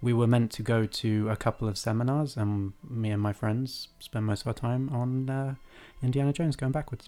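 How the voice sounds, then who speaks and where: A man with an English accent, medium pitch, a dark, mellow tone, fairly even intonation and a moderate pace. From England. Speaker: podcast co-host. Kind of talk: casual chat.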